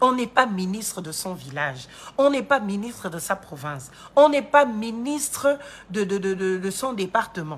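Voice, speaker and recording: Speaking at a fairly slow pace, a woman with a medium-pitched, somewhat breathy voice makes very wide pitch swings and big swings in loudness. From Gabon. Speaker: political commentator and lawyer. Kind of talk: political commentary monologue. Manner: animated.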